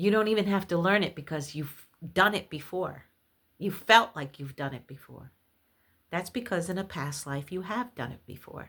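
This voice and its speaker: A woman speaks at medium pitch and a moderate pace, with lively intonation. The recording is very clean, with a silent background. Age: 60s. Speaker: spiritualist video host. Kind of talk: spiritual monologue to camera. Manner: halting with fillers.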